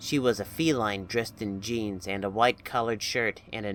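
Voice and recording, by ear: Natural-voiced reading aloud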